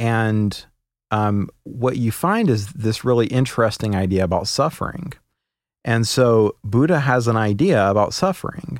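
Here is a man with a normal speaking voice at medium pitch, talking fairly slowly with lively intonation. His loudness stays very even in a very clean recording with a silent background. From US, moved around (Oklahoma, Kentucky, Alabama, Pacific Northwest). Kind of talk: casual interview chat.

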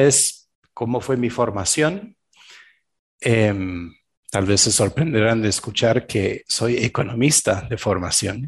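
Speaking very slowly, a man uses a medium pitch with ordinary variation and a somewhat breathy voice over a quiet background. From Belgium. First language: French (speaking Spanish). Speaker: shamanic practitioner and executive coach. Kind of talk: interview.

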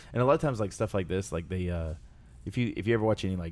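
Speaking with an American accent, a man talks at a very deep, low pitch. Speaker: podcast host and wrestling trainer. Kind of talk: casual chat.

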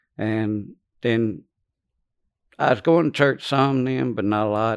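Over a quiet background, a man speaks in a Louisiana accent. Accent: Louisiana Southern US. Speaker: former prisoner. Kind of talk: testimony. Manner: halting.

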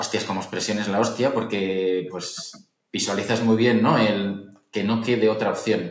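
Amid audible room echo, a man talks at a fairly slow pace with fairly even intonation. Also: fairly low pitch for a man. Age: 30s. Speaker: entrepreneur and investor. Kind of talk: interview.

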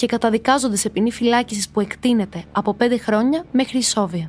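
Over music in the background, a woman with a fairly high pitch speaks in a serious tone with ordinary pitch variation. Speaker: true crime podcast narrator. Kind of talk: true-crime narration, scripted, read from a prepared text. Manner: steady, serious storytelling, measured and suspenseful.

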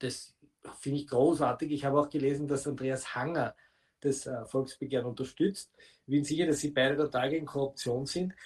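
A somewhat breathy male voice, fairly high in pitch, with monotone, flat intonation. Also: fairly quick pace. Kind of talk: interview.

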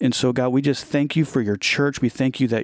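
A man's plain, everyday voice at medium pitch, with fairly even intonation, on a very clean recording with a silent background. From US Midwest, Ohio. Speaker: ministry founder. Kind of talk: faith testimony in casual conversation.

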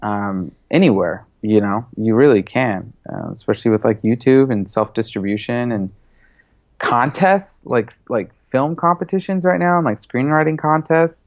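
With an American accent, a man talks at a moderate pace. His pitch is medium with ordinary variation.

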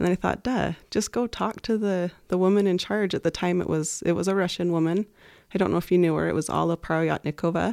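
An ordinary speaking voice, from a woman with an American accent, fairly low in pitch with fairly even intonation. The recording is very clean with a silent background, and the sound is dry and close with no echo. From rural Nevada. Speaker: college administrator. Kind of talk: interview.

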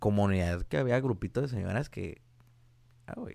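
A man's fairly low voice with ordinary pitch variation and a moderate pace, in a very clean recording with a silent background. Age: 20s. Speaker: mechatronics engineer. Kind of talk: casual chat.

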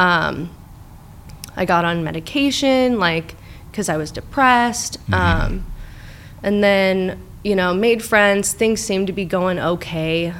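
Speaking at a fairly slow pace with long, frequent pauses, a woman with an American accent is heard over noticeable background noise and audible room echo. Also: medium pitch for a woman, ordinary pitch variation. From Orange County, California. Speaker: therapist. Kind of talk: personal testimony in interview.

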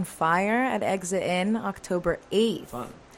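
Speaking at a very slow pace, a woman has a medium pitch with ordinary pitch variation. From Chile. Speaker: singer-songwriter. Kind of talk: casual interview.

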